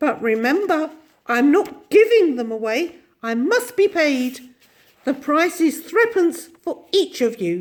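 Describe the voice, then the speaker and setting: A shrill, cackling put-on character voice sounds female and sits high in pitch. It unfolds at a fairly slow pace. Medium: read story.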